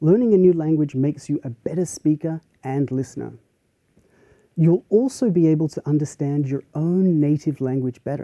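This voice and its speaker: Recorded dry and close with no echo, a man speaks with an Australian accent at a moderate pace, his fairly high pitch carrying a dark, mellow tone and ordinary pitch variation. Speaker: university professor. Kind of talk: lecture.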